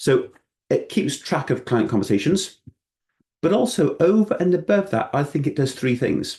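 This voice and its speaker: A man with a Welsh accent speaks in a somewhat breathy voice with a dark, mellow tone. His pitch swings very widely over a quiet background. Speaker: financial adviser. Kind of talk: presentation. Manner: casual, self-deprecating conversational delivery.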